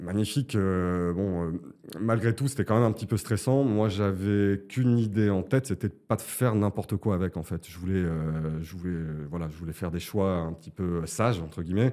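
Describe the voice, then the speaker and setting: A man's very deep, low voice, dark and mellow in tone, at a moderate pace with ordinary pitch variation, on a very clean recording with a silent background. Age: 40s. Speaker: client giving a testimonial, composer. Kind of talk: interview testimony. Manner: hesitant, many fillers.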